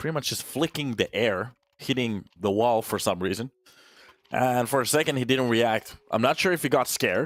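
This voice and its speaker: A man with a Finnish accent, medium pitch and ordinary pitch variation, at a moderate pace, in a dry, close sound with no echo. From Finland, Turku. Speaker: esports caster. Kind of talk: casual chat; live commentary. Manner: animated.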